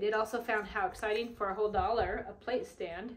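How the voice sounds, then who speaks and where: Moderate pacing from a female speaker, plus noticeable noise in the background. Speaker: thrift haul vlogger. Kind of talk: casual vlog chat. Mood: cheerful, warm. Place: home room. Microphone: camera far.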